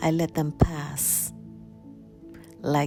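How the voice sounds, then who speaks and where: Over music in the background, a soft-spoken woman talks in a calm tone. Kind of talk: poetic voiceover vlog narration. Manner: slow, calm.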